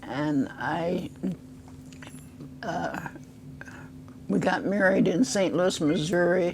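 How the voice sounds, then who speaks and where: A woman with an American accent, fairly low in pitch, at a very slow pace with long, frequent pauses, against noticeable background noise. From US Midwest, Decatur, Illinois. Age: 90s. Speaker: oral history interviewee. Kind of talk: interview. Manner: halting.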